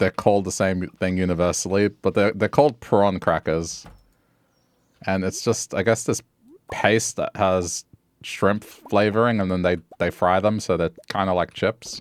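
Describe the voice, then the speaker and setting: A man with an Australian accent speaks at a moderate pace in a very deep, low voice with fairly even intonation, recorded very cleanly against a silent background with a dry, close sound and no echo. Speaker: streamer.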